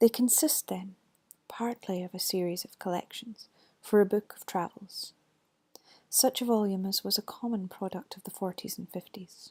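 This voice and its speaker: Soft-spoken delivery in a Scottish accent at a moderate pace, on a very clean recording with a silent background. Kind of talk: ASMR ghost story reading.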